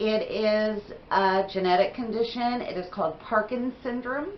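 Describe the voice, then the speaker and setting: Fairly slow speech from a woman, her pitch varying in an ordinary way. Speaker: beauty vlogger. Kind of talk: casual haul video talk. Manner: chatty, conversational.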